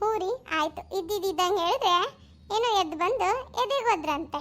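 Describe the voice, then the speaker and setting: A woman's squeaky, cartoonish character voice, extremely high-pitched, with lively intonation, very even loudness and a fairly slow pace. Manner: sarcastic.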